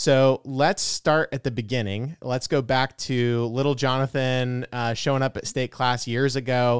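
An ordinary speaking voice from a man at medium pitch, fairly even in intonation, with a dry, close sound, no echo, and a very clean recording against a silent background. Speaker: podcast host. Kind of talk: casual interview conversation.

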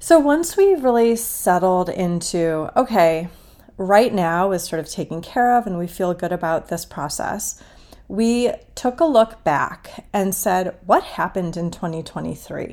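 Speaking at a fairly slow pace, a woman uses a normal speaking voice with medium pitch and lively intonation. The recording is very clean, with a silent background. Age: 40s. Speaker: podcast host, financial coach. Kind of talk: solo podcast monologue. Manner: casual, conversational.

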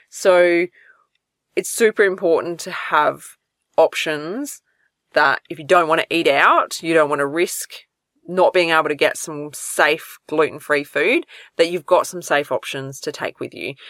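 At a fairly slow pace, a woman's loudness swings widely in a very clean recording with a silent background that sounds dry and close with no echo. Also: fairly low pitch for a woman, ordinary pitch variation. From Australia. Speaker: podcast host, celiac health coach. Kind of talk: solo podcast advice talk. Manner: casual, conversational with fillers.

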